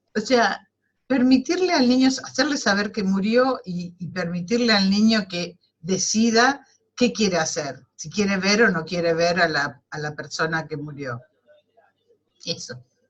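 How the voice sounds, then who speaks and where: A woman speaks at a fairly slow pace in a medium pitch, somewhat breathy, with very wide pitch swings and big swings in loudness. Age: 70s. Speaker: webinar participant. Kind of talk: personal testimony in group discussion. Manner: halting.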